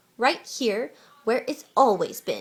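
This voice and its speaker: A woman puts on a character voice. She growls. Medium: read story. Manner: growling.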